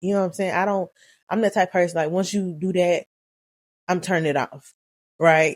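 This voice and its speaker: A woman's voice with a Southern US accent and ordinary pitch variation. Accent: country Southern. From Alabama, US South. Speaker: YouTuber. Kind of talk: casual vlog talk. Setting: at home. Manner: fast at times.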